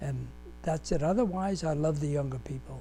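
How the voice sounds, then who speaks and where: Over music in the background, a man speaks with audible room echo. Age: 90s. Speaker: war veteran. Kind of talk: interview testimony. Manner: halting.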